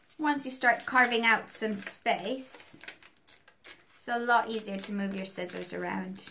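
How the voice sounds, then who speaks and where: A woman speaks at a fairly slow pace and a fairly high pitch, with ordinary pitch variation. Her loudness swings a lot, and noticeable background noise is present. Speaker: art teacher. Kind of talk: tutorial.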